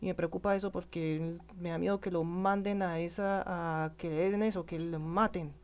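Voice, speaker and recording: Over a silent background in a very clean recording, a woman speaks at a fairly low pitch in a monotone, flat intonation. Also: moderate pace. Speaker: political commentator. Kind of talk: emotional monologue. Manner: halting, many self-corrections.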